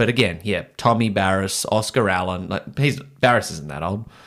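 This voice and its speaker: A man's fairly low, fairly even voice with an Australian accent in a very clean recording with a silent background. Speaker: sports podcast host. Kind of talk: casual sports chat. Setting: studio. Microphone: new microphone.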